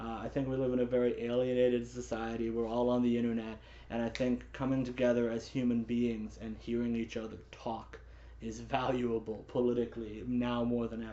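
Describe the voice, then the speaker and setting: A man speaks at a fairly quick pace in a flat monotone. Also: medium pitch for a man. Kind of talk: casual talk to camera about politics.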